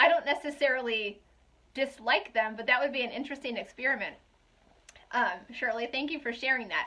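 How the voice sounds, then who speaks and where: Her voice raised and projected, a woman speaks at a high pitch with a bright, sharp tone and lively intonation. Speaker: essential oils seller. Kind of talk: live stream chat. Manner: loud; fast.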